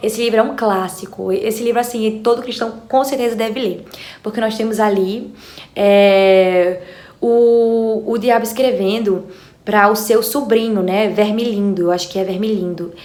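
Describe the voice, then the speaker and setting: Room echo and noticeable background noise are audible. The delivery is fairly slow, with fairly even intonation. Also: woman, fairly high pitch for a woman. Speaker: book youtuber. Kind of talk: book recommendation vlog.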